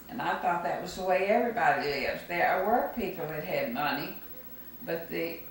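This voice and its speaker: A woman speaks with a Mississippi accent. Audible room echo and noticeable background noise come through. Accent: Southern US (Mississippi). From US South, Mississippi Gulf Coast. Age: 80s+. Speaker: grandmother interviewed for school project. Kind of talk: oral history interview.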